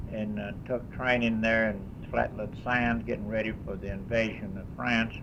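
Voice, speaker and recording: A man with an American accent and medium pitch speaks at a moderate pace in monotone, flat intonation, with audible room echo. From Kentucky. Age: 80s+. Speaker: war veteran. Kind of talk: testimony. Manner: halting.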